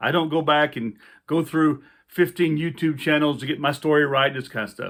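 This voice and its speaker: A man's fairly high voice with a Louisiana accent, fairly even in intonation and moderate in pace. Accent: Louisiana Southern US. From US South, central Louisiana. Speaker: outdoor survival instructor, army veteran. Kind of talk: casual vlog talk to camera. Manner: halting, many fillers.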